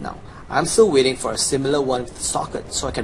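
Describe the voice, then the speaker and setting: Over noticeable background noise and audible room echo, a man with a fairly high pitch speaks at a very fast pace with ordinary pitch variation. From China. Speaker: video game guide maker. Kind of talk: gameplay tutorial. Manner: casual, animated.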